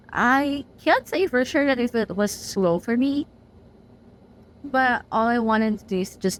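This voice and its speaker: Speaking at a fairly slow pace, a woman with a non-native accent uses lively intonation. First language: not English. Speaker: book reviewer. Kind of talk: casual chat. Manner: animated.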